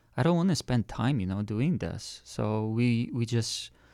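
This is a man talking with a non-native accent. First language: not English. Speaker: engineer turned e-commerce seller. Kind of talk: casual interview chat. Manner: soft-spoken.

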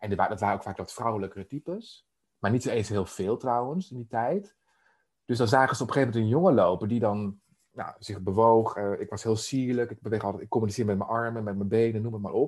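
A man talks at a medium pitch. His pace is very fast, with ordinary pitch variation. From Netherlands, Emmeloord (Noordoostpolder). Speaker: life coach. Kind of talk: interview conversation. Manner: halting, many fillers.

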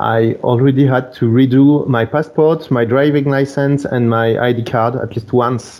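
A man's medium-pitched voice in a French accent, with monotone, flat intonation and hardly any pauses. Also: fairly slow pace. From France, near Bordeaux. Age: 30s. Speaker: wedding photographer. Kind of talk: casual chat. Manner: halting.

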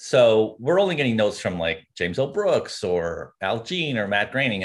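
With a normal speaking voice, a man talks at a moderate pace and a fairly low pitch, his intonation lively against a quiet background. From Canada (rural Ontario). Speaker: TV comedy writer. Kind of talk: interview.

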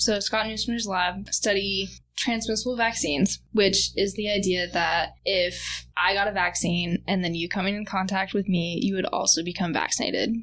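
A woman with an American accent speaks at a moderate pace and medium pitch, with hardly any pauses. Her intonation is fairly even, and vocal fry runs through her voice. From US Northwest, Tri-Cities, Washington. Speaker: undergraduate researcher. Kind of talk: interview.

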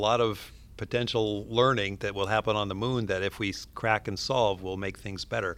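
Pitched fairly low, a man speaks in a flat, monotone way. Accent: American. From US Pacific Northwest, southwestern Washington. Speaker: astronaut and physician. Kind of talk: interview.

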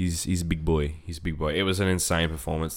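Talking at a very fast pace, a man delivers his words in a very deep, low pitch. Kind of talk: casual chat.

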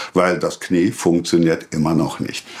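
The pace is moderate. The speaker is a man. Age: 70s. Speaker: retired civil servant, vaccine injury testimony. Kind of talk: testimony.

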